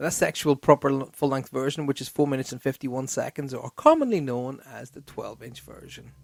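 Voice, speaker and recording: The man speaks in an Irish accent at a very fast pace with fairly even intonation. The sound is dry and close with no echo. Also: fairly high pitch for a man, hardly any pauses, big swings in loudness. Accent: Irish accent, mistaken for American. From Ireland. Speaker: radio host. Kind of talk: casual chat.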